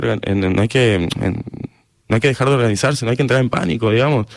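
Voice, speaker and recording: Here a man talks at a medium pitch and a fairly quick pace. It is a normal speaking voice. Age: 30s. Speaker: writer. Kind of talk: radio interview.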